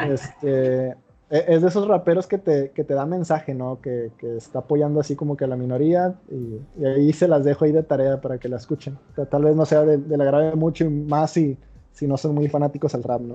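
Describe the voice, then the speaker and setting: Music runs in the background as the speaker goes at a moderate pace with fairly even intonation. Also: man, fairly high pitch for a man. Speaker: podcast host. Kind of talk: casual chat.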